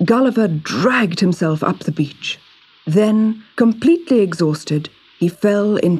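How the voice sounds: The clip carries a natural reading voice.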